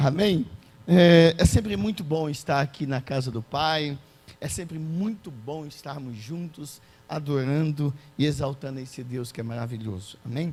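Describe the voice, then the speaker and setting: A man speaks fairly slowly at a fairly high pitch, shrill and somewhat breathy. His pitch variation is ordinary. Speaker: preacher. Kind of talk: sermon. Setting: church.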